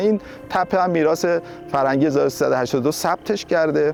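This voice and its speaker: Music plays behind a man talking at a very fast pace. His pitch is fairly high, with ordinary pitch variation. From Barg-e Jahan village, Lavasan, Iran. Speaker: researcher and author. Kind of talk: documentary interview answer.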